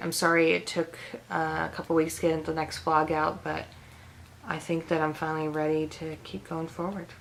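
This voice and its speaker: Against noticeable background noise, a woman speaks at a moderate pace with a very deep, low pitch and monotone, flat intonation. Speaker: vlogger. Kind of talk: casual vlog talk to camera.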